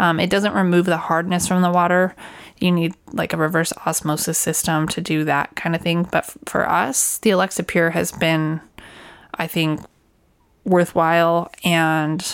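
On a very clean recording with a silent background, a woman with an ordinary speaking voice and a fairly low pitch talks at a moderate pace with fairly even intonation. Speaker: RV podcast co-host. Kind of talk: casual chat.

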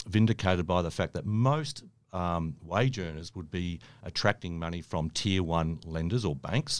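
A man with an Australian accent speaks fairly slowly in a very deep, low pitch with ordinary pitch variation, on a very clean recording with a silent background. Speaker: mortgage broker. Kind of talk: podcast interview. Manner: halting, many fillers.

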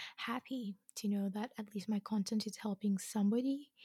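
Somewhat breathy, the voice has a dark, mellow tone. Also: woman. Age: 20s. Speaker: podcast host. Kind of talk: casual monologue.

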